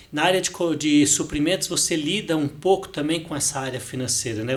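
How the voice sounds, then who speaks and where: Ordinary pitch variation at a moderate pace. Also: man. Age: 60s. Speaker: finance director. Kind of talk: podcast interview. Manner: hesitant, repeats words.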